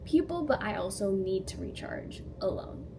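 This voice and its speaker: With a Canadian accent and lively intonation, a woman speaks through noticeable background noise and audible room echo. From Canada, near Toronto. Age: 20s. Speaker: DJ and content creator. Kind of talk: casual get-to-know-me vlog. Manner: animated.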